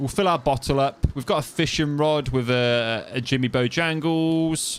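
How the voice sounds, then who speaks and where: A man talks with an East Midlands accent. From East Midlands, England (Kettering, Northamptonshire). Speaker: gaming streamer. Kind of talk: live gameplay stream commentary. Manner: casual, rambling.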